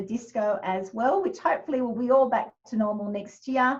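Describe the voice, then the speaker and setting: A woman speaks at a high pitch in an Australian accent. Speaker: kindergarten teacher. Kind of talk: information session presentation. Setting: video call.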